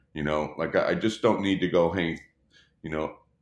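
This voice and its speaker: With an American accent, a man speaks in a very deep, low pitch marked by vocal fry. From Texas, Dallas. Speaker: touring production rigger. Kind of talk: casual interview.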